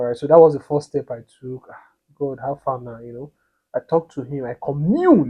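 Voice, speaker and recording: A man's fairly high, somewhat breathy voice at a moderate pace, with fairly even intonation and big swings in loudness. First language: not English. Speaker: couples vlogger. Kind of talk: casual storytelling to camera. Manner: halting, with many repetitions.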